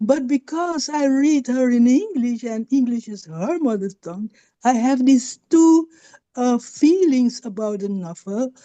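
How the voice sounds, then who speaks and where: A woman's high voice with a dark, mellow tone, lively intonation and a fairly slow pace. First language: Dutch. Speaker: novelist. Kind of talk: panel talk. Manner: halting.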